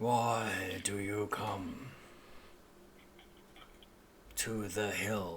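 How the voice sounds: A man's rumbling, put-on character voice at a fairly low pitch, over clear background noise.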